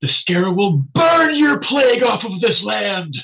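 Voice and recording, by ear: Putting on a character voice, a man speaks at a moderate pace, pitched high and swinging very widely up and down.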